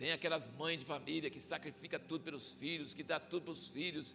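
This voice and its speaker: With music playing behind him, a man speaks in an animated tone at a fairly high pitch. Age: 60s. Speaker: visiting pastor. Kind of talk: sermon. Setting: church. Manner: conversational, animated.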